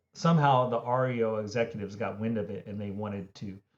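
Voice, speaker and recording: A man with a Philadelphia accent at a fairly quick pace. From Philadelphia, US. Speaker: music industry consultant. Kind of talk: podcast interview. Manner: conversational, many fillers.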